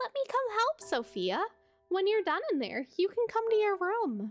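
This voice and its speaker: Squeaky and moderately paced, the put-on character voice makes very wide pitch swings over faint background music. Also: woman, extremely high pitch for a woman. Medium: virtual streamer. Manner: formal, soft-spoken.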